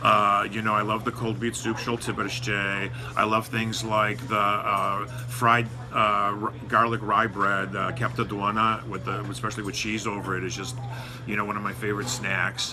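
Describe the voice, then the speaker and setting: At a moderate pace, a man with an American accent speaks in a fairly low, monotone, flat voice, with audible room echo and noticeable background noise. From United States, Lithuanian-American community. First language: Lithuanian. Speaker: news site editor. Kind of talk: interview. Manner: halting, many fillers.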